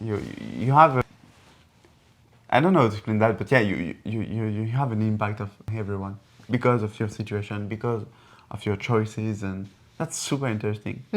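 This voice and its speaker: Fairly quick speech in a French accent with long, frequent pauses and ordinary pitch variation, on a very clean recording with a silent background. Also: man, fairly low pitch for a man. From France. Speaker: engineer and entrepreneur. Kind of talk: casual conversation. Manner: halting, many repetitions.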